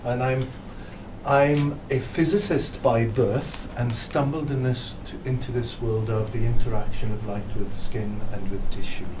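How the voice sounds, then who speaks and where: Over noticeable background noise and audible room echo, a man with a Welsh accent speaks at a fairly slow pace and medium pitch with ordinary pitch variation. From South Wales. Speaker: physicist. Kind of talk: presentation.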